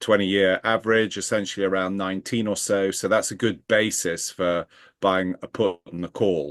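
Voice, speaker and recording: Over a quiet background, a man with a fairly low pitch speaks at a moderate pace in a monotone, flat delivery, with a dry, close sound and no echo. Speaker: equity research director. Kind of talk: interview.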